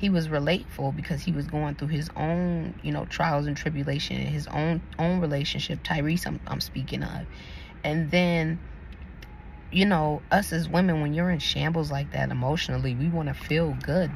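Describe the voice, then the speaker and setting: Audible room echo surrounds a soft-spoken woman talking at a moderate pace. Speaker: YouTube commentator. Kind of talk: casual opinion commentary. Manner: soft-spoken, talking quietly.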